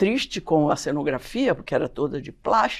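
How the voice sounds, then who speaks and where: Her pitch swings very widely while the woman keeps a moderate tempo. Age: 70s. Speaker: scenographer and show host. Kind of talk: panel discussion.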